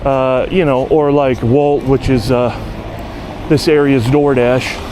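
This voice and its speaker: Speaking very slowly with an American accent, a man holds a medium pitch, fairly even intonation and very even loudness against noticeable background noise. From United States. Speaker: bike courier and vlogger. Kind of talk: casual vlog monologue. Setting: outdoors, riding a bike.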